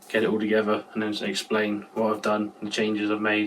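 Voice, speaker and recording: A man talks at a fairly quick pace and a fairly low pitch. Noticeable background noise can be heard. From Cornwall, England. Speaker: car fabricator. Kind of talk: casual talk to camera. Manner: monotone.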